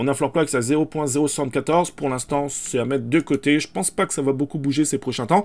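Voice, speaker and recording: Talking at a very fast pace with hardly any pauses, a man with fairly high pitch and ordinary pitch variation comes through in a very clean recording with a silent background. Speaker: crypto and NFT YouTuber. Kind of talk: screen-share market commentary. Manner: hesitant, many fillers.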